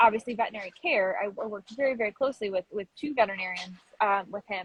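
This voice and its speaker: Somewhat breathy and very fast, a woman speaks in a dry, close sound with no echo. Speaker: pet food writer and advocate. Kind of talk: interview.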